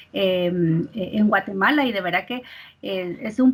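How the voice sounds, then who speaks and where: Noticeable background noise sits behind a woman speaking. Her pitch varies in an ordinary way. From Mexico. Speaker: industrial psychologist and recruiter. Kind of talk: interview. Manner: hesitant, many filler words.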